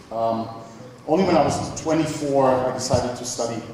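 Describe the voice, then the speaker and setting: Audible room echo and noticeable background noise surround speech with fairly even intonation. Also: man. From Germany (Nuremberg, Bavaria). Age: 20s. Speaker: software developer. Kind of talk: conference talk. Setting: stage with audience. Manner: hesitant, many fillers.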